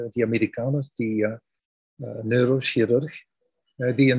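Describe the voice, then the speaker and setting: A man with a Flemish accent speaks at medium pitch in a somewhat breathy, dark, mellow tone with monotone, flat intonation, recorded with a dry, close sound with no echo. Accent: Flemish Dutch. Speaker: founder of a spirituality website, interviewer. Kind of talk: interview. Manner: halting.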